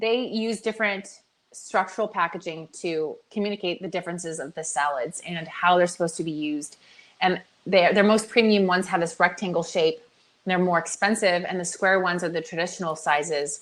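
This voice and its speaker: Pitch varies in an ordinary way as the words come out at a fairly quick clip. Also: woman, fairly low pitch for a woman. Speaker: product development agency owner. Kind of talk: webinar presentation. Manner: fast; animated.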